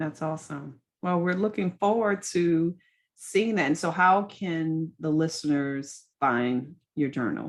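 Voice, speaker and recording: This is an ordinary speaking voice, a woman's, fairly low in pitch with ordinary pitch variation. She goes at a fairly slow pace against a quiet background. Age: 40s. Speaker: podcast host. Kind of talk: interview.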